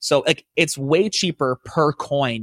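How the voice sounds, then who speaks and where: A man's fairly high voice sounds animated in a dry, close recording with no echo, very clean and with a silent background. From Edmonton, Alberta, Canada. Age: 30s. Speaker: bitcoin company founder and CEO. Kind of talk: casual interview chat.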